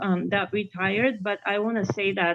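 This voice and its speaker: A woman speaks with a non-native accent at a fairly high pitch. Her pace is fairly slow and her intonation fairly even. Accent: foreign. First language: not English. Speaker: parent speaking at public comment. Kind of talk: public comment. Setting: video call. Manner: halting.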